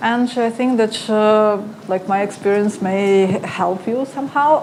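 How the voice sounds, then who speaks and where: Speaking at a very slow pace, a woman with a fairly high pitch is heard through noticeable background noise and audible room echo. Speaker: conference speaker, analytics marketer. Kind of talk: conference talk. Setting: stage with audience. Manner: halting.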